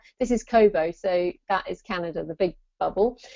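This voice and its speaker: Speaking with a British accent, a woman talks at a fairly quick pace with lively intonation. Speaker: author and writing business adviser. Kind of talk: webinar presentation. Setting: online live event. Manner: animated.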